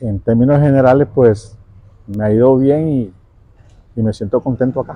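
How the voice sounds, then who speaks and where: In a dark, mellow tone, a man at a medium pitch speaks at a moderate pace with fairly even intonation. He leaves long, frequent pauses. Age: 40s. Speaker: pool worker. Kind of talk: interview. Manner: halting.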